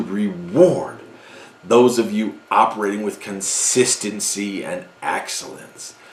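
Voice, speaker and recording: A man speaks at a very slow pace with big swings in loudness over noticeable background noise. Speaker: NEMT industry commentator. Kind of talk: commentary on a broker letter. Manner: animated, sarcastic.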